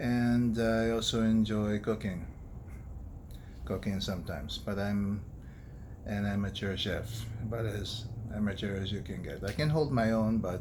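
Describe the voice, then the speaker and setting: With audible room echo, a man with an American accent and fairly low pitch speaks at a moderate pace, leaving long, frequent pauses. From United States. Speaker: doctor and food vlogger. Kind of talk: casual personal vlog. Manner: monotone; serious, quiet.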